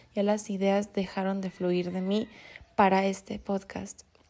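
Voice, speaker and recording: This woman's voice has a dark, mellow tone. She talks fairly slowly. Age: 20s. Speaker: manifestation coach and podcast host. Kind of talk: solo motivational podcast monologue.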